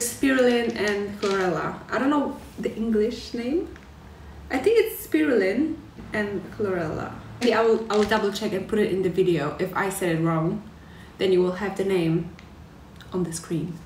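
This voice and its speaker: Speaking at a moderate pace with long, frequent pauses, a woman is heard with audible room echo and light background noise. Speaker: vlogger. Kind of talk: casual vlog chat. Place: home room. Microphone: phone near.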